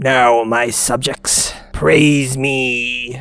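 A man booms in a put-on character voice. His pitch sits in the medium range. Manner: commanding, pompous.

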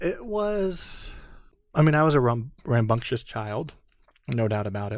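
A man's medium-pitched voice with an American accent, very wide pitch swings, a fairly slow pace and long, frequent pauses, on a very clean recording with a silent background. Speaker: Air Force veteran and business owner. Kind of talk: interview.

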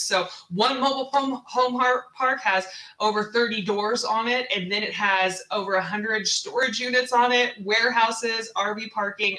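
A woman with an American accent speaks at a fairly slow pace with ordinary pitch variation. Noticeable background noise is present. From US Pacific Northwest, Seattle. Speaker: real estate investor. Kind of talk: interview. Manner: animated.

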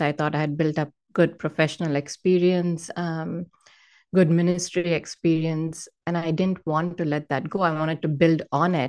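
A woman with an Indian accent speaks at a fairly slow pace against a quiet background. Her pitch is fairly low and her intonation fairly even. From Hyderabad, south India. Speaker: author and speaker. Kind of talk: casual interview sharing personal testimony.

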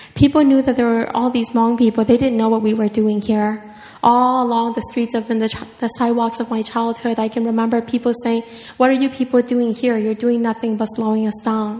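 Over noticeable background noise, a woman with a Southeast Asian accent speaks at a fairly quick pace in a fairly high pitch with monotone, flat intonation. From Minnesota, Hmong refugee family. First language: Hmong. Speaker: writer. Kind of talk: author talk and reading aloud. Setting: stage with audience.

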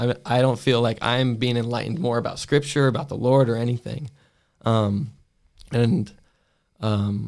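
An American accent marks a man with an ordinary speaking voice, who speaks at a medium pitch and a moderate pace with fairly even intonation on a very clean recording with a silent background. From US South, Augusta, Georgia. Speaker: Bible college student. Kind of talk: casual interview, personal testimony.

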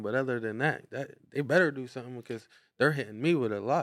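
A man with an American accent uses a normal speaking voice at a medium pitch with ordinary pitch variation. He talks at a fairly quick pace in a very clean recording with a silent background. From Brownsville, Pennsylvania. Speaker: rapper and dog breeder. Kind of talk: casual interview chat.

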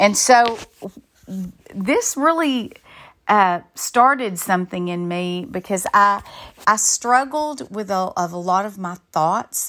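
A woman with a Southern US accent, medium pitch and a bright, sharp tone, with lively intonation, big swings in loudness, a very slow pace and long, frequent pauses, on a very clean recording with a silent background. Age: 50s. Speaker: Bible study teacher and counselor. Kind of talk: conference talk. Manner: halting.

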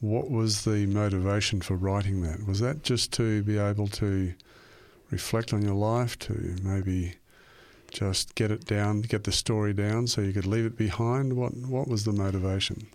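An Australian-accented man at a fairly low pitch and a moderate pace, with fairly even intonation and very even loudness on a very clean recording with a silent background. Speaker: radio host. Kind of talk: scripted narration; interview.

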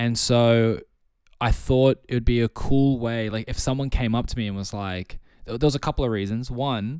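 An Australian-accented man at medium pitch, fairly quick in pace, with fairly even intonation. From Australia, Sydney. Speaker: music producer and DJ. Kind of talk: casual chat. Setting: video call.

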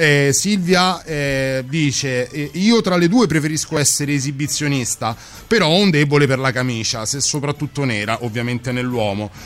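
A man talks with lively intonation at a fairly high pitch. Music plays in the background. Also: moderate pace. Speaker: radio co-host. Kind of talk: late-night radio chat. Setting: studio.

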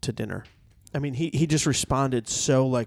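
The man speaks at a moderate pace. His pitch is medium, with ordinary pitch variation. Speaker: podcast host. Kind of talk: casual chat. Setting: cigar shop.

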